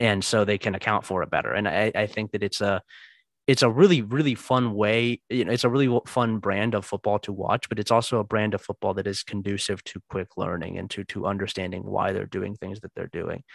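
Over a quiet background, a man with a fairly low pitch speaks fairly quickly with fairly even intonation, the sound dry and close with no echo. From New Albany, Ohio (US Midwest). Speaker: sports writer and podcaster. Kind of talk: casual chat. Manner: halting, frequent repetitions.

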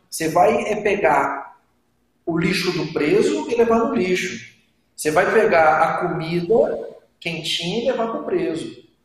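Fairly slow pace, ordinary pitch variation and audible room echo. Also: man, high pitch for a man. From Brasília, Brazil. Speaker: exam-prep teacher, former civil servant. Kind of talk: casual interview. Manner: animated.

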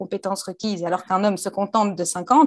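A woman at a medium pitch, very fast and with fairly even intonation. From Belgium. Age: 20s. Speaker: actress and YouTuber. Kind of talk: interview.

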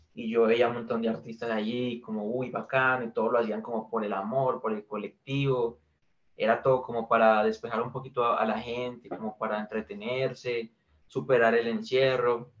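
This man's medium-pitched delivery stays monotone and flat while moving at a moderate pace. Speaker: indie musician. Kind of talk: interview.

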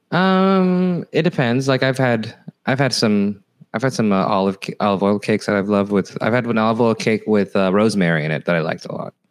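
With an American accent, a man talks at a fairly quick pace in a fairly low pitch that swings very widely. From California. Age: 40s. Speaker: comedian. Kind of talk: casual chat. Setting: at home, remote call.

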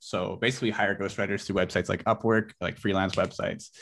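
A man with a Western Canadian accent speaks in a bright, sharp tone with fairly even intonation. The background is quiet. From Canada, British Columbia (Abbotsford). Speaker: online entrepreneur. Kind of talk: interview.

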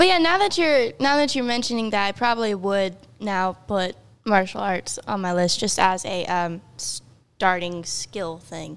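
Using an unremarkable speaking voice, a woman with an American accent talks at a fairly slow pace with medium pitch and lively intonation. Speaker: podcast co-host. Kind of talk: casual chat.

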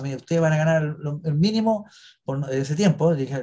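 A man talks at a very fast pace. His tone is dark and mellow, with ordinary pitch variation. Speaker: actor and cemetery tour guide. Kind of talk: interview. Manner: halting.

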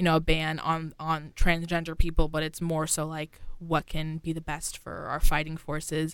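A woman speaks at a moderate pace in a normal speaking voice. Her pitch sits fairly low for a woman. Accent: American. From New York. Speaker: college radio host. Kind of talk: casual news discussion. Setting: radio studio.

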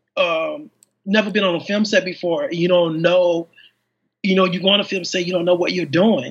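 A man speaks at a high pitch with an American accent. His pace is moderate and his pitch varies in an ordinary way. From Chicago, Englewood. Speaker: independent filmmaker. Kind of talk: interview.

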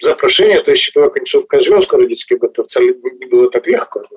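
At a very fast pace, a man talks in a dry, close sound with no echo. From western Ukraine, Drohobych. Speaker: qigong master and therapist. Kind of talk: interview. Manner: halting.

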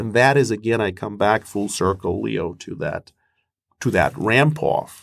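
Speaking at a fairly slow pace, a man uses a fairly low pitch with vocal fry and ordinary pitch variation. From Moscow, Russia. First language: Russian. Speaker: professor and mediator. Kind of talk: interview answers on conflict negotiation.

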